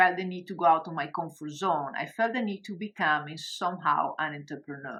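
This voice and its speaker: A woman with an Italian accent speaks in a bright, sharp tone with lively intonation. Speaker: coach and online course creator. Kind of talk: webinar presentation. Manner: hesitant, many fillers.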